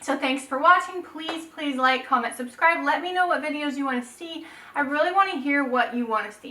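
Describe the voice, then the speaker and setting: A woman uses a raised, projected voice at a fairly quick pace with ordinary pitch variation, and background noise is noticeable. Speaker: photographer, YouTuber. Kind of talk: casual tutorial vlog. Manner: casual, chatty.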